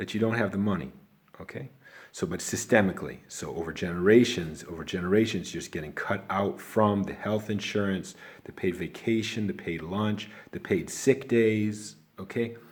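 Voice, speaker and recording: With a Chicago accent, a man speaks at a moderate pace in a fairly low pitch. His pitch variation is ordinary, while his loudness swings widely. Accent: Chicago American. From Chicago, South Side. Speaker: video blogger. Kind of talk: casual talk to camera. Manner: rambling, halting.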